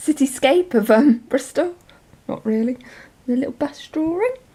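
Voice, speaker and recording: A woman with a West Country accent at a moderate pace, over noticeable background noise. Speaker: journaling vlogger. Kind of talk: casual show and tell. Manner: chatty, hesitant with many ums.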